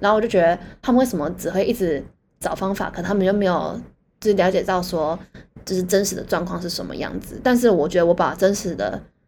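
Speaking very fast, a woman uses a medium pitch with ordinary pitch variation and vocal fry. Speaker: podcast co-host. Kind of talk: casual chat.

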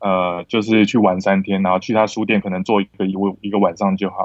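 A man talks at a fairly quick pace in a normal speaking voice. His pitch sits fairly low. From Taiwan, born Kinmen, raised Longtan and north. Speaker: film director. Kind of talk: casual chat.

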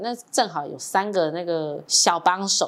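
Someone speaks with a Taiwanese accent over noticeable background noise. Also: woman. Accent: Taiwanese Mandarin. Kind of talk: casual chat.

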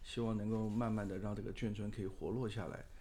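Audible room echo follows a man's dark, mellow, fairly low voice as he talks at a fairly quick pace. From Taiwan, Taipei. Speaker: architect. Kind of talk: interview.

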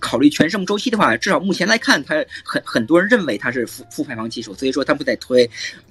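A man talking at a very fast pace with very wide pitch swings over noticeable background noise. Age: 30s. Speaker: assistant professor, climate and energy expert. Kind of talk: expert interview.

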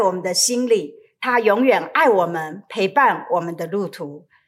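Recorded very cleanly against a silent background, a woman is speaking. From Taiwan. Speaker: pastor. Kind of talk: sermon.

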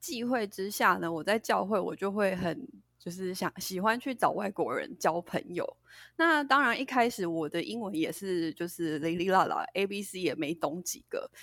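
Lively intonation from a woman at medium pitch and a moderate pace, on a very clean recording with a silent background. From Taiwan. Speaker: English pronunciation teacher. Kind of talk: casual chat.

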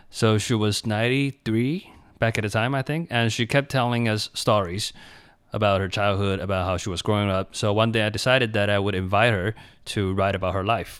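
A man with a Chinese accent talks at a fairly quick pace in a fairly low pitch. The recording is very clean, with a silent background. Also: ordinary pitch variation. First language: Mandarin Chinese. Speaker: English teacher, cram school founder. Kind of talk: interview. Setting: radio studio.

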